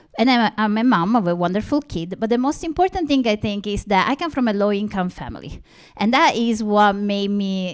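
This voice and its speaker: This woman has an Italian accent and a medium-pitched voice with lively intonation. The recording is very clean and the background silent. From Italy. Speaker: linguistics professor. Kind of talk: conference presentation.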